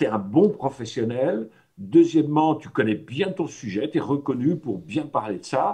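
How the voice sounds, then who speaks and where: With hardly any pauses, a man with a fairly high, somewhat breathy voice and a dark, mellow tone makes big swings in loudness. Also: fairly slow pace. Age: 60s. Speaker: personal development trainer. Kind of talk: talk to a workshop audience. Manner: hesitant, many fillers; casual, conversational.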